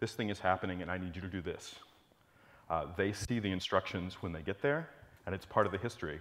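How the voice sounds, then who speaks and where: A man speaks at a fairly quick pace in a very deep, low voice with ordinary pitch variation. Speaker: conference presenter. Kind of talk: lecture. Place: hall. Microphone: lapel.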